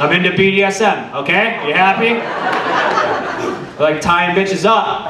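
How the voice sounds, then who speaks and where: A man speaks at a very slow pace. Loud background noise fills the recording. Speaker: stand-up comedian. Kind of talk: stand-up comedy. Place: stage. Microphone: handheld.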